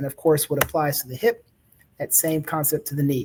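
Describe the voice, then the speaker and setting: A man with an American accent speaks in a fairly high, somewhat breathy voice with a dark, mellow tone and fairly even intonation. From US South, Baton Rouge, Louisiana. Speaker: orthopedic surgeon. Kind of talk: educational talk. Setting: live online presentation. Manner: conversational, with fillers.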